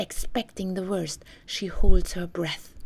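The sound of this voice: A woman's low-pitched voice with a husky, rough edge and vocal fry, fairly even intonation and a slow pace.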